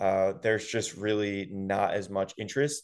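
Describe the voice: A man speaks at a moderate pace with a fairly low pitch against a quiet background. His is a plain, everyday voice.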